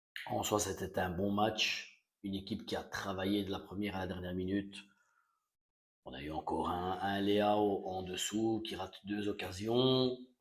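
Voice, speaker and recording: A soft-spoken man talks at a fairly slow pace. His pitch sits fairly low. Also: fairly even intonation. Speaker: football fan vlogger. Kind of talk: casual post-match reaction. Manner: hesitant, many fillers.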